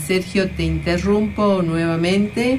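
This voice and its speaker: Room echo and noticeable background noise can be heard. A woman talks very slowly. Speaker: radio host. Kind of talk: radio talk show and interview.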